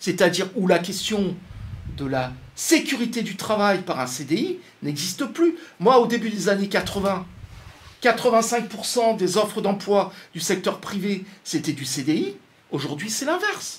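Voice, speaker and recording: A man talks in a high pitch with lively intonation and an animated tone. He leaves long, frequent pauses. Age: 60s. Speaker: economist. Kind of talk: talk to an audience. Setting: radio studio. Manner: hesitant, repeats words.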